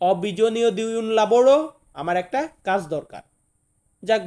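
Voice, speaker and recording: A dark, mellow tone with ordinary pitch variation sits on a very clean recording with a silent background. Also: man. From Bangladesh. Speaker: language teacher. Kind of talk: tutorial.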